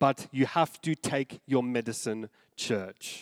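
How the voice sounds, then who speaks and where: The voice, with an Australian accent, moves at a very slow pace with lively intonation, recorded with a dry, close sound and no echo. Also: man. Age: 30s. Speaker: pastor. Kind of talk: sermon. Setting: church.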